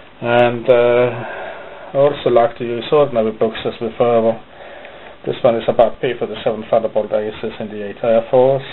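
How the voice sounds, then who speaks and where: Over noticeable background noise, a man with a strong non-native accent talks fairly quickly at a medium pitch in a monotone, flat way. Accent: thick non-native. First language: not English. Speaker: hobby modeller, video maker. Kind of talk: casual show-and-tell video. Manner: halting, with fillers.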